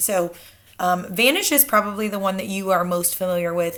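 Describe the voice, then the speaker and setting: Speaking at a moderate speed, this woman has an unremarkable speaking voice, pitched fairly low and varying in an ordinary way. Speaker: teacher. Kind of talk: casual talk to students.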